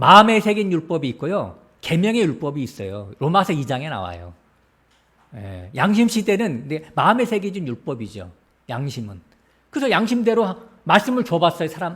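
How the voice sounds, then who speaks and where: A man's voice with vocal fry, very wide pitch swings and big swings in loudness. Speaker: pastor. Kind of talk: sermon. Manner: fast.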